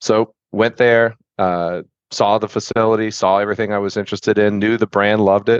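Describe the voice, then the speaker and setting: A man uses a normal speaking voice, fairly low in pitch, at a moderate pace. His intonation is fairly even, and the sound is dry and close with no echo. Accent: American. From Florida, Tampa. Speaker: restaurant franchise growth strategist. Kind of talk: interview.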